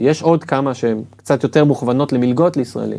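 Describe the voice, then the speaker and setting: A man talks in an ordinary speaking voice, fairly high-pitched and fairly quick, with lively intonation. The recording is very clean with a silent background. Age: 40s. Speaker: admissions consultant. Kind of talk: interview.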